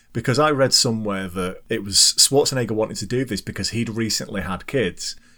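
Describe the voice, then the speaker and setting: A man speaks with a British accent and hardly any pauses. His tone is bright and sharp. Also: medium pitch for a man, ordinary pitch variation, fairly quick pace. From UK. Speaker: podcast host. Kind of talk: casual chat.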